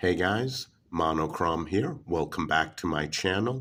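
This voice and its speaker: Here a man with a very deep, low pitch talks at a fairly slow pace in a very clean recording with a silent background. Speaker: knife reviewer. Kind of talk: product review.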